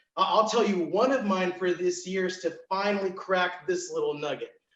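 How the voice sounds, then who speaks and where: The voice is loud and energetic, moving at a fairly quick pace. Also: man. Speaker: event MC. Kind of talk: virtual event hosting.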